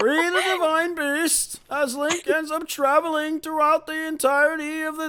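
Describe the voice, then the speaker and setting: A put-on character voice talks at a high pitch and a moderate pace. There are hardly any pauses. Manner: dramatic, booming announcer delivery.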